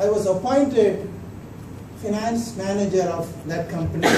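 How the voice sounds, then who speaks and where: With an Indian accent, a man talks at a fairly slow pace in a high pitch with ordinary pitch variation, amid noticeable background noise and audible room echo. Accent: Indian English (Tamil). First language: Tamil. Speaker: humorous speech contestant. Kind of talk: humorous speech.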